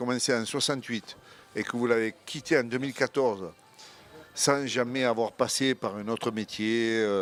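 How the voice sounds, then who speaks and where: Music plays in the background while the speech moves at a moderate pace with ordinary pitch variation. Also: man. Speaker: retired football coach. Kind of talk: casual chat. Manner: halting.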